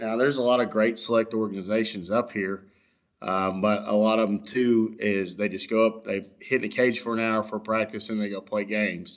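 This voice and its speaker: A man with a Texan accent, fairly low in pitch, with fairly even intonation at a moderate pace, in a very clean recording with a silent background. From Texas, West Houston. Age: 30s. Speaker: high school baseball coach. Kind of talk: casual interview chat. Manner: halting, many fillers.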